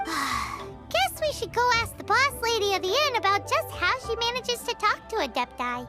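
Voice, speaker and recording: A cartoonish, squeaky character voice at an extremely high pitch and moderate pace, with clear music in the background. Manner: cheeky, chatty.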